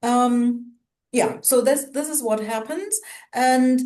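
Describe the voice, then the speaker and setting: The voice has a dark, mellow tone with a German accent. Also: woman. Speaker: co-host of culture talk show. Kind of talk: casual conversation.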